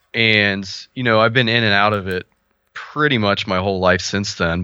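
A fairly quick pace with fairly even intonation, in a Midwestern American accent. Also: man. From Ohio, US Midwest. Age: 30s. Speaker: fighting game player and clothing designer. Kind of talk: casual chat.

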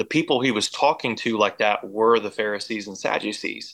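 Fairly low and bright with a sharp tone, a man with an American accent speaks at a moderate pace and fairly even intonation in a very clean recording with a silent background. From US Midwest and Oklahoma. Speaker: gym owner and personal trainer. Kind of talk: testimony.

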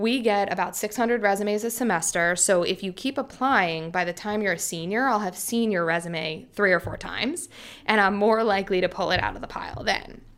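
A woman talks at medium pitch and a moderate pace. Hers is an unremarkable speaking voice with ordinary pitch variation. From US, Philadelphia. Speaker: music tech investor. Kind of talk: interview.

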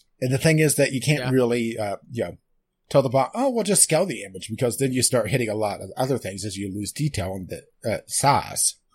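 A man speaks at a fairly quick pace with a somewhat breathy voice. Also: medium pitch for a man. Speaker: podcast co-host. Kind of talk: casual chat. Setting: Skype call.

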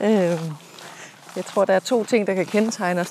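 Sounding dry and close with no echo, a woman speaks at medium pitch with ordinary variation. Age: 40s. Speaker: podcast host and leadership coach. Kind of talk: casual chat. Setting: outdoors.

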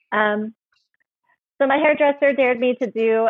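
Using an ordinary speaking voice, a woman talks at a moderate pace with ordinary pitch variation. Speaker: palm reader and author. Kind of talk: casual interview chat. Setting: video call.

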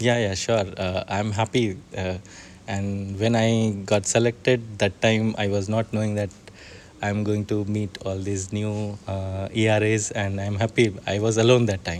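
In a monotone, flat delivery, a man speaks at a fairly slow pace. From India, Bihar. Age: young. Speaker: NGO co-founder, rural entrepreneur. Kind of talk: interview. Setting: conference venue. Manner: halting.

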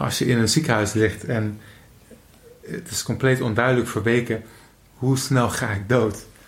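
Amid noticeable background noise and audible room echo, a man talks at a fairly slow pace and medium pitch with fairly even intonation. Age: 20s. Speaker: podcast host. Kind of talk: casual chat. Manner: halting.

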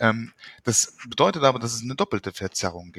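This is an ordinary speaking voice at a moderate pace, with ordinary pitch variation. The sound is dry and close, with no echo. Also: man. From Luxembourg. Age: 40s. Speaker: psychotherapist and author. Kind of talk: interview.

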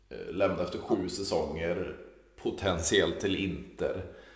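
The voice belongs to a man. Audible room echo surrounds his speech. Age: 30s. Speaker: podcast host. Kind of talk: casual chat.

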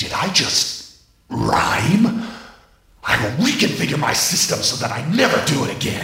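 A man puts on a character voice at a fairly slow pace, bright and sharp in tone. His pitch swings widely, with vocal fry. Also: medium pitch for a man.

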